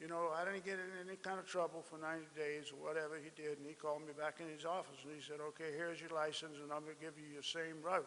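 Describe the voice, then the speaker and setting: In an American accent, a man speaks at a fairly high pitch with a bright, sharp tone and monotone, flat intonation. He goes at a very fast pace with hardly any pauses. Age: 70s. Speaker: speaker at memorial ceremony. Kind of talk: speech. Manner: halting.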